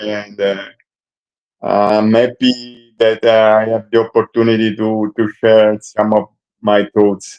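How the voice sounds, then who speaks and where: The voice has an Italian accent and a flat, monotone delivery at a very slow pace. The sound is dry and close, with no echo. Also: man. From Italy. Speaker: ultra cyclist and coach. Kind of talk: panel discussion. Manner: halting.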